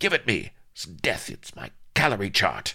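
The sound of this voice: A man puts on a character voice, fairly low in pitch with vocal fry and a slightly husky edge. His tone is bright and sharp, with very wide pitch swings. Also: fairly slow pace.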